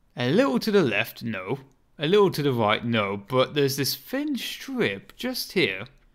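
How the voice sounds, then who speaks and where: Speaking fairly slowly, a man with a British accent makes very wide pitch swings. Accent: British accent, viewers like it. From Britain. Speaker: gaming streamer. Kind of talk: gameplay live stream commentary. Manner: casual, animated.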